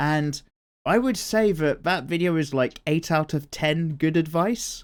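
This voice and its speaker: A man with a British accent speaks in a relaxed tone with very wide pitch swings. The recording is very clean, with a silent background. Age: 30s. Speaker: art YouTuber. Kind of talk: casual chat while drawing. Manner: casual, relaxed.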